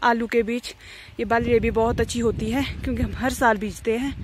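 A woman at a moderate pace, fairly high pitch and fairly bright tone, with little pitch movement

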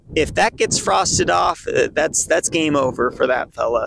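A man's voice at a moderate pace, dry and free of echo. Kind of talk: tutorial. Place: open country. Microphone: phone near.

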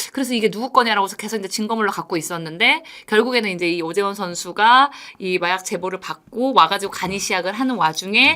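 Ordinary pitch variation from a woman speaking at a very fast pace. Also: medium pitch for a woman. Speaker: reporter co-host explaining baseball news. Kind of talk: news explainer chat.

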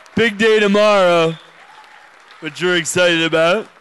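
With an American accent, a man talks at a fairly quick pace in a high pitch and fairly even intonation, crowd noise behind him. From Western Massachusetts. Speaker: brewery founder hosting event. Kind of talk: live event hosting. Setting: stage with audience. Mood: upbeat, casual. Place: stage. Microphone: handheld.

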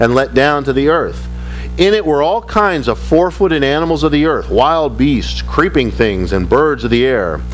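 Male speaker at a moderate pace with music in the background. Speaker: pastor. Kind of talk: sermon. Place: church. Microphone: podium.

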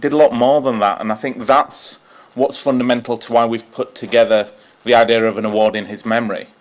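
A man talking at a fairly quick pace with ordinary pitch variation. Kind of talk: memorial speech. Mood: warm, respectful. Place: hall. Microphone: podium.

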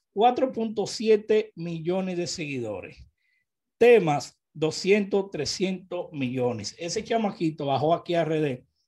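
Over a quiet background, a man in a Dominican accent speaks very slowly at a high pitch, with a dark, mellow tone and lively intonation. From Dominican Republic. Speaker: urban music news vlogger. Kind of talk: casual commentary. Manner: animated. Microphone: studio mic.

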